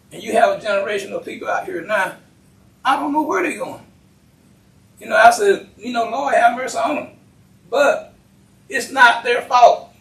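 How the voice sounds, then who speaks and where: A man with an American accent and an extremely high pitch, lively intonation, a moderate pace and long, frequent pauses, amid noticeable background noise. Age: 80s+. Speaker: county commissioner. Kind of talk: public meeting remarks.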